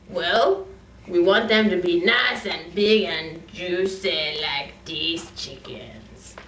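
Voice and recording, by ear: The speaker uses a put-on character voice. The delivery is very slow. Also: female-sounding voice, medium pitch for a woman.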